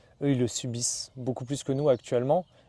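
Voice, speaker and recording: A man talks at a fairly quick pace in a medium pitch with a dark, mellow tone. The sound is dry and close with no echo, on a very clean recording with a silent background. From northern France, Valenciennes area. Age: 30s. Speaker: traveller and adventurer. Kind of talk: interview. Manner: casual, hesitant with many fillers.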